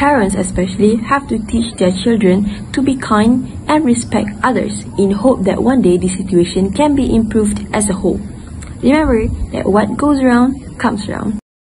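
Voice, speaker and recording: A woman talks with ordinary pitch variation at a moderate pace, noticeable background noise behind her. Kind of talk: book report presentation. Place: garden. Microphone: earbuds.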